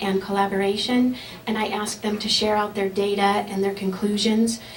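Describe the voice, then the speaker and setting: A woman talks at a moderate pace with a fairly high pitch and monotone, flat intonation. Noticeable background noise and audible room echo fill the recording. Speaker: elementary science teacher. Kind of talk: acceptance speech.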